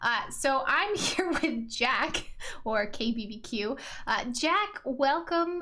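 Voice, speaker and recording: Raising and projecting her voice, a woman speaks at a high pitch with a bright, sharp tone. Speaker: podcast host. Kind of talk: casual interview. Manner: energetic.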